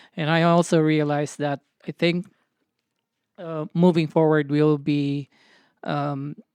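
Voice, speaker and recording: A woman's very deep, low voice, monotone and flat, at a fairly slow pace with long, frequent pauses, in dry, close sound with no echo. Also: very clean recording, silent background. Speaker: podcast co-host. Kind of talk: casual chat. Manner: halting, many fillers.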